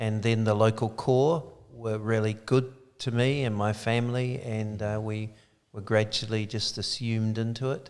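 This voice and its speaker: A man speaks at a medium pitch with a slight New Zealand accent. His intonation stays flat and monotone. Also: moderate pace. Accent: slight Kiwi. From New Zealand (Dunedin). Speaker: church leader. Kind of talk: interview.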